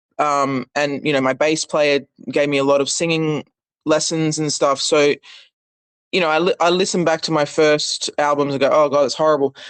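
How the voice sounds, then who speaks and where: A woman's very deep, low voice with an Australian accent, monotone, flat intonation and a moderate pace. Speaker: singer-songwriter. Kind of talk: interview.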